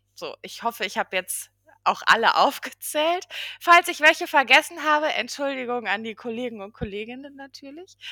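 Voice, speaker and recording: A woman with a high pitch speaks in a raised, projected voice with a bright, sharp tone, lively intonation and big swings in loudness. The sound is dry and close with no echo, on a very clean recording with a silent background. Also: moderate pace. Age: 30s. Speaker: regional business development project manager. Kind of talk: podcast interview.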